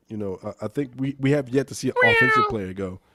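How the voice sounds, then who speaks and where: The recording sounds dry and close, without any echo. At a moderate pace, a man talks. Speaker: sports podcast co-host. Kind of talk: casual chat. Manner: halting, stumbling over words.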